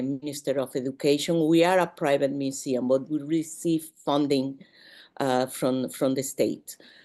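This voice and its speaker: Against a quiet background, the speaker has a Spanish accent, a dark, mellow tone, and fairly even intonation. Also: woman. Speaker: museum professional. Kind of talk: panel discussion. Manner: halting.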